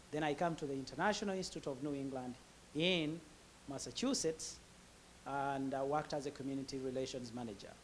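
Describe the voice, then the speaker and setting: A man with a Ugandan accent at a very fast pace, fairly high pitch and ordinary pitch variation. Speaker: immigrant professional sharing his story. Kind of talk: interview testimony. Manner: halting, many fillers.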